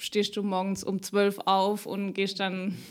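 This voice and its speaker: On a very clean recording with a silent background, a woman talks at medium pitch and a very slow pace. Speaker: podcast host. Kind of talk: casual interview.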